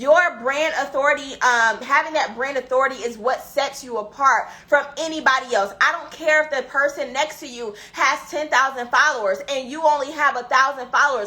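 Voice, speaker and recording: A woman's high-pitched, raised and projected voice at a moderate pace, animated in tone, with ordinary pitch variation, hardly any pauses and big swings in loudness. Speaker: business coach. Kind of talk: live stream teaching.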